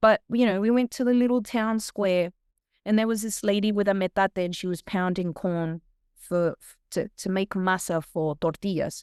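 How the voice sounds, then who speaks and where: A woman with an Australian accent talks at a moderate pace and a medium pitch, with ordinary pitch variation and big swings in loudness. The recording is very clean with a silent background, and the sound is dry and close with no echo. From Australia, Sydney. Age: 40s. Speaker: singer and food vlogger. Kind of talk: interview. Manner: animated.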